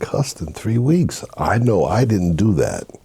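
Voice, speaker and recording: A man's fairly low voice at a moderate pace amid noticeable background noise. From Haiti, raised in Brooklyn, New York. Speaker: minister. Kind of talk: interview testimony.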